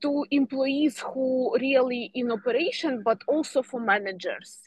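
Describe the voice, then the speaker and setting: A woman speaks at a high pitch with a Ukrainian accent. Her pace is fairly slow and her pitch varies in an ordinary way. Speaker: course moderator. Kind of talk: webinar moderation. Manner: halting.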